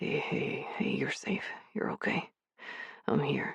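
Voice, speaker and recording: A hoarse, whispered, put-on character voice at a fairly slow pace. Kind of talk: intimate. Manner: whispering, soothing.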